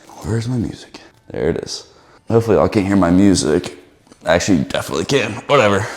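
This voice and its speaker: Man speaking at a very fast pace, with audible room echo. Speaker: fitness vlogger. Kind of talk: casual gym vlog. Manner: loud; casual, rambling.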